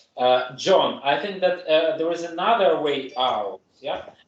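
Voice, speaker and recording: There is audible room echo as a man with a high pitch speaks at a fairly slow pace. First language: German or Russian. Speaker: English teacher in a conversation club. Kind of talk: casual group chat. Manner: halting.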